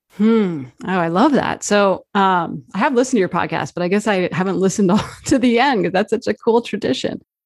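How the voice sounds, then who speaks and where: In a plain, ordinary speaking voice, a woman with an American accent talks at a fairly quick pace, her medium pitch rising and falling in lively intonation. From New Jersey. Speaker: journalist and author. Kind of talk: interview. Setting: live video stream.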